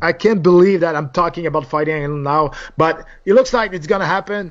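In a Quebec accent, a man with a high pitch talks at a moderate pace with ordinary pitch variation. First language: French. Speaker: former MMA fighter and TV analyst. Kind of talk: interview. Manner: animated.

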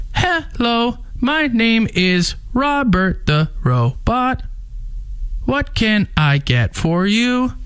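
A female-sounding, put-on character voice, fairly high in pitch, at a very slow pace. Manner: cheerful, scripted.

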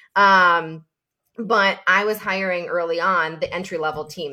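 A woman's fairly low voice with an American accent, a bright, sharp tone and fairly even intonation, on a very clean recording with a silent background. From upstate New York. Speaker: clothing brand founder. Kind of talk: casual interview.

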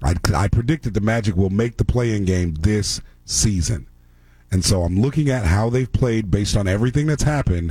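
Speaking at a moderate pace, a man with a fairly low, somewhat breathy voice keeps very even loudness while his intonation stays lively. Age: 40s. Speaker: sports radio host. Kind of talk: sports talk radio. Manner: casual, laughing.

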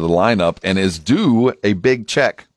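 A man's normal speaking voice, fairly low in pitch, with lively intonation and an American accent, in a dry, close sound with no echo. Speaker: radio host. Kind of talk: casual sports radio banter. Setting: studio.

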